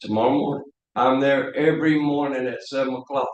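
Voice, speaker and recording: A man speaks at a medium pitch. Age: 60s. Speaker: local business owner and military veteran. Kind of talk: public comment at council meeting. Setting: city council meeting room. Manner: heated, confrontational.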